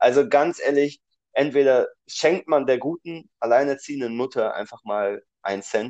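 A man talks in a plain, everyday voice at medium pitch and a fairly slow pace. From Düsseldorf area, Germany. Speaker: podcast co-host. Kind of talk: casual chat.

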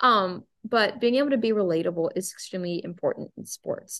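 An ordinary speaking voice from a woman at medium pitch, lively in intonation, over a quiet background. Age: 20s. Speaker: pageant titleholder and mental health advocate. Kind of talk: personal testimony in interview.

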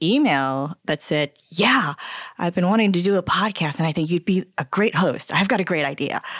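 A woman with an American accent speaks in an ordinary speaking voice, fairly low in pitch and very even in loudness. The recording is very clean with a silent background and a dry, close sound with no echo. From New Jersey. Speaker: podcast co-host, photographer. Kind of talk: casual chat. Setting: home basement.

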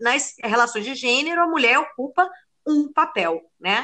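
The voice swings very widely in pitch and speaks at a very slow pace. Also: woman. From Rio de Janeiro, Brazil (Lapa). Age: 30s. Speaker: podcast co-host. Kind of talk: casual chat.

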